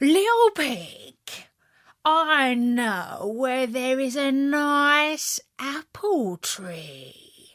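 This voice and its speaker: Here a woman uses a put-on character voice pitched high. She speaks at a very slow pace. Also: very clean recording, silent background. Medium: read story. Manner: sly.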